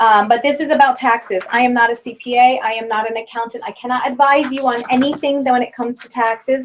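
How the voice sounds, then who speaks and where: Over noticeable background noise, a woman with a high pitch talks very fast with hardly any pauses. Her intonation is flat and monotone, while her loudness swings widely. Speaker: direct sales trainer. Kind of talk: training talk to a group.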